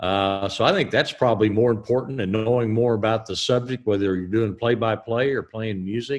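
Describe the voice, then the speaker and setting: A man at medium pitch, fairly even intonation and hardly any pauses, against a quiet background. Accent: Southern US. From Southern Illinois / Tennessee. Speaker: stadium announcer. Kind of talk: class Q&A interview.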